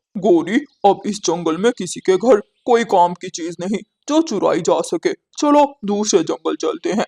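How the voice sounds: A man uses a cartoonish character voice pitched high. He speaks at a moderate pace.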